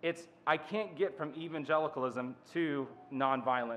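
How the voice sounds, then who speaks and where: His pitch shifts in an ordinary way. The speaker is a man. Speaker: conference speaker. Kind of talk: lecture. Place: hall. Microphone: podium.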